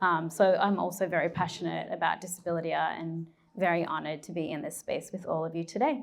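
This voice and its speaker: A woman's fairly low voice in an Australian accent, with vocal fry and fairly even intonation. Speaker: curator and art historian. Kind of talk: panel discussion. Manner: hesitant, many fillers.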